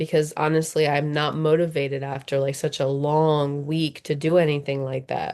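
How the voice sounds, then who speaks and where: At a moderate pace, a woman with a very deep, low pitch speaks in fairly even intonation. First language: not English. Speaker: student playing therapy client. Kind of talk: role-play therapy session. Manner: halting, many fillers.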